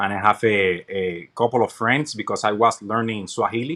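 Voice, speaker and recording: With a bright, sharp tone, a man talks at a moderate speed. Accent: Puerto Rican. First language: Spanish. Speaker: podcast guest, army veteran. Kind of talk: interview.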